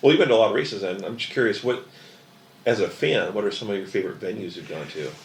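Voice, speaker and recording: With audible room echo, a man talks at a very fast pace. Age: 40s. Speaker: podcast host. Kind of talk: scripted narration; casual interview. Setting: hydroplane museum.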